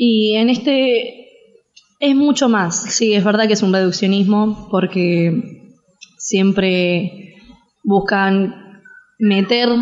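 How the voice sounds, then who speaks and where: It is a plain, everyday voice with fairly even intonation. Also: woman. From Argentina. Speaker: interviewee on Syria. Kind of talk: interview.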